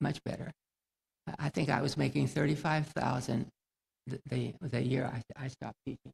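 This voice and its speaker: A man at medium pitch with vocal fry, moderate pace, and a dry, close sound with no echo. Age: 90s. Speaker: retired teacher, honoree. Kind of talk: commencement speech. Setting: graduation ceremony stage. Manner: halting.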